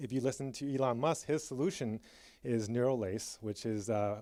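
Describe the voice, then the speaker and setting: On a very clean recording with a silent background, a man speaks at medium pitch in a dark, mellow tone with ordinary pitch variation. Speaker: tech executive giving a conference talk. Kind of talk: conference keynote. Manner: fast.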